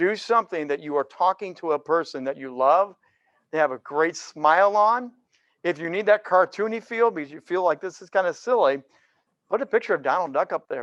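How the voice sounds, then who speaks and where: Against a quiet background, the dry, close sound with no echo carries a high-pitched man talking at a fairly quick pace in an animated tone, with lively intonation and big swings in loudness. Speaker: pastor and broadcast speaker, workshop presenter. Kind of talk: presentation workshop.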